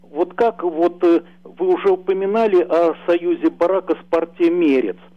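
Very slowly, a man talks at a high pitch, his pitch varying in an ordinary way. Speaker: caller. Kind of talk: interview question. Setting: phone call. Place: home room. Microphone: video call.

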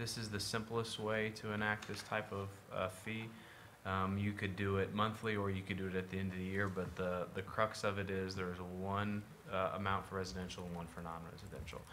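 A man at a fairly quick pace and fairly low pitch, monotone with flat intonation, over light background noise. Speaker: city administrator. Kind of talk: municipal meeting discussion. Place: meeting room. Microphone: podium.

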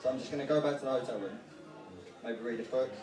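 A man speaks at a very fast pace with fairly even intonation. Audible room echo and noticeable background noise surround him. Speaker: stand-up comedian. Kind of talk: stand-up comedy. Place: bar.

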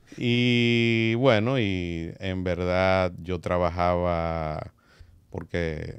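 In a quiet background, a man speaks at a very slow pace with a very deep, low pitch. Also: ordinary pitch variation. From Dominican Republic, San Francisco de Macorís; Dominican Republic. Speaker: music industry executive; podcast guest. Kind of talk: interview. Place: studio. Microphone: studio mic.

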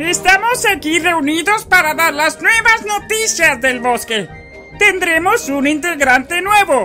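A man speaks in a cartoonish character voice with an extremely high pitch. His pace is fairly slow, and clear music plays in the background. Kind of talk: cartoon dubbing. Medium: voice reel. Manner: formal, announcing.

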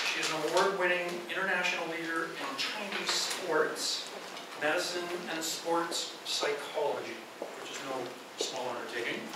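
A man's voice amid loud background noise, with audible room echo. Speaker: event host introducing the speaker. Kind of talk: speaker introduction. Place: hall. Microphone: camera far.

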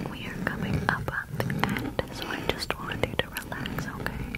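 A woman whispers in a gentle, soothing tone at a moderate pace. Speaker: ASMR creator. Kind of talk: soft ASMR whisper talk. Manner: gentle soothing whisper. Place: home room. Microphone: studio mic.

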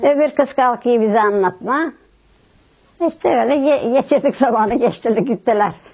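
A woman with a high pitch talks at a moderate pace, keeping her loudness very even and her pitch variation ordinary. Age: 80s+. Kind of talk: interview answer.

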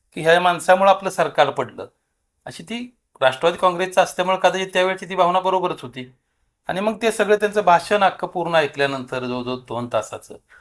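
A man's high-pitched voice with ordinary pitch variation and big swings in loudness, on a very clean recording with a silent background. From Maharashtra, Solapur district (Natepute). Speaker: local politician and social worker. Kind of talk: interview. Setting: party office.

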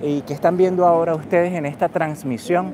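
Over noticeable background noise, a man talks at a fairly quick pace and high pitch with ordinary pitch variation, the sound dry with no echo. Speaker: street livestreamer and news host; street livestreamer, news host. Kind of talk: live event broadcast, street reporting. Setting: outdoors at a protest rally. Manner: improvised, filler-laden, halting. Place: street. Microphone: phone near.

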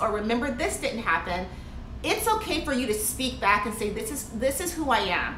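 A woman speaks in a raised, projected voice at a fairly quick pace, with audible room echo and light background noise. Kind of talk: motivational vlog talk. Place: home room. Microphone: phone near.

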